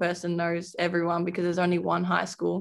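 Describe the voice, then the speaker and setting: A woman talks with an Australian accent at a fairly low pitch. The recording is very clean, with a silent background. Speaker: college basketball player. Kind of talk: interview.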